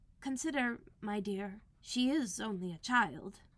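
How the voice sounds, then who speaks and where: A woman's put-on character voice, fairly high in pitch, with lively intonation and a fairly slow pace. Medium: read story. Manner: timid.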